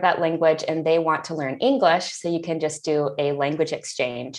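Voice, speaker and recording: With an American accent and a plain, everyday voice, a woman talks at a moderate pace in a fairly low pitch. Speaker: ESL teacher. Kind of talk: interview.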